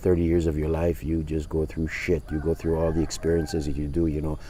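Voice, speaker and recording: A man's very deep, low voice comes across dark, mellow and somewhat breathy. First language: not English. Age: 60s. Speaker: life coach. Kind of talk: casual vlog monologue. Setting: outdoors. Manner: halting.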